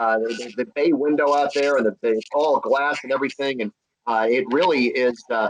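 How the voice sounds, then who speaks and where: A man speaks in an ordinary speaking voice, fairly high-pitched, at a moderate pace with ordinary pitch variation. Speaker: horse race track announcer. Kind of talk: casual conversation about race calling.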